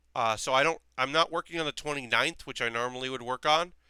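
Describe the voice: The man's fairly high voice has a bright, sharp tone that is also clear and smooth.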